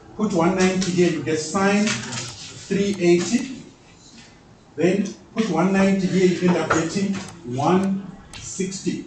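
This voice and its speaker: A man speaks loudly at a high pitch, with audible room echo. Noticeable background noise is also heard. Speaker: mathematics teacher. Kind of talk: classroom lecture.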